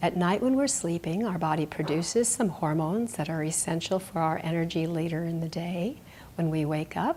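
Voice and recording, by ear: Her tone slightly mellow, a woman speaks at a moderate pace with fairly low pitch and ordinary pitch variation.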